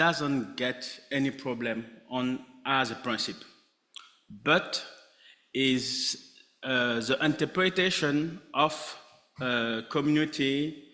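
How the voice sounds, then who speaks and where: A man with a French accent, at medium pitch with ordinary pitch variation, talking at a very slow pace with long, frequent pauses. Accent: French-speaking, non-native English. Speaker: head of local aid organization. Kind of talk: panel discussion. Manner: halting.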